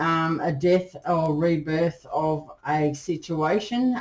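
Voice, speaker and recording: A woman speaks over noticeable background noise. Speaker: tarot reader. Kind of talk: tarot reading to camera. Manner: hesitant, many ums.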